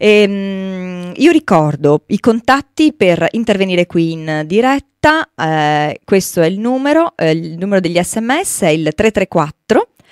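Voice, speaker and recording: The voice swings very widely in pitch and moves at a very slow pace with hardly any pauses, the sound dry with no echo over a quiet background. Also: woman. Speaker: radio host. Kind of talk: radio show hosting. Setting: radio studio. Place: studio.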